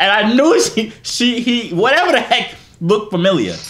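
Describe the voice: A man speaks at a moderate pace in a high, fairly bright voice with big pitch swings. Room echo is audible.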